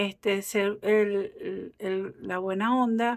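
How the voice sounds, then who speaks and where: Recorded very cleanly over a silent background, a woman speaks at a medium pitch with ordinary pitch variation. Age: 40s. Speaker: tarot reader. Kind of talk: casual chat; tarot reading. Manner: animated.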